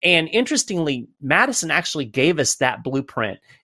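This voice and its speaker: In a very clean recording with a silent background and a dry, close sound free of echo, a man with a fairly high pitch and a bright, sharp tone talks at a fairly quick pace with vocal fry. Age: 50s. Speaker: think tank communications director and author. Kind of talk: interview.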